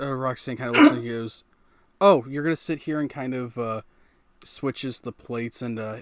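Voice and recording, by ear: The passage is read aloud. A natural voice delivers it.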